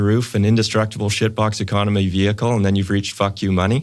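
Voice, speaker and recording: In a Canadian accent, the speaker talks at a very fast pace with monotone, flat intonation. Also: man. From Canadian prairies, Saskatoon, Saskatchewan. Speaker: financial planner, wealth management firm founder. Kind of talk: podcast interview.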